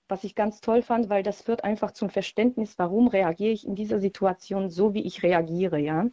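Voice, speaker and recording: Speaking with a Polish accent, a woman has a dark, mellow tone, medium pitch and fairly even intonation, in a dry, close sound with no echo. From Poland. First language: Polish (speaking German). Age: 40s. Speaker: radio caller. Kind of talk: testimony.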